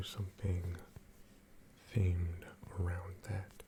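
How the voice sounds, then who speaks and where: Someone soft-spoken talks at a very slow pace. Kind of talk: ASMR reading.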